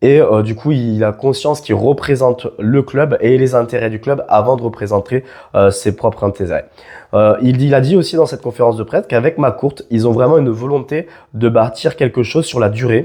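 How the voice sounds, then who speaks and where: At a moderate pace, a man with a dark, mellow tone speaks at a medium pitch with ordinary pitch variation over a quiet background. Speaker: football YouTuber. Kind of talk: casual video commentary. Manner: hesitant, many fillers.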